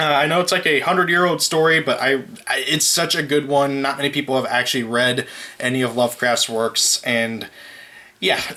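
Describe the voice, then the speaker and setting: A man's fairly high voice with ordinary pitch movement, over noticeable background noise. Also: fairly quick pace, very even loudness. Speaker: YouTuber reviewing manga. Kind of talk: casual video review. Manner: halting, many fillers.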